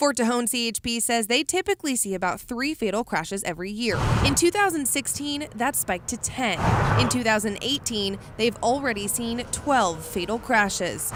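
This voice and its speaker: Over noticeable background noise, a woman speaks at a moderate pace. Her fairly high voice has lively intonation. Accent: American. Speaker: local TV news reporter. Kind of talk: TV news reporter package narration.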